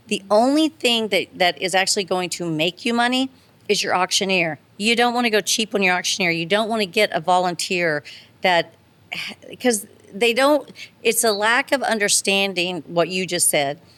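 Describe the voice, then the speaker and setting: With an American accent, a woman in an unremarkable speaking voice talks at a moderate pace and medium pitch with lively intonation, the sound dry and close with no echo. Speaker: charity auctioneer. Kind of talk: podcast interview answer.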